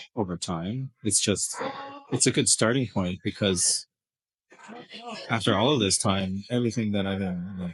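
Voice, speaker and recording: A man mumbles in a fairly low voice. He is soft-spoken. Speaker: video blogger. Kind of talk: casual vlog monologue. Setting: kid's birthday party in an escape room. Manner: mumbling.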